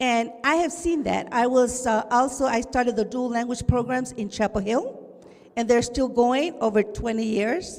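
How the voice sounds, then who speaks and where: In a Spanish accent, someone speaks at a fairly slow pace over noticeable background noise. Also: woman. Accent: Spanish-tinged. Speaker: educator, audience member. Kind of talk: audience comment. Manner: animated.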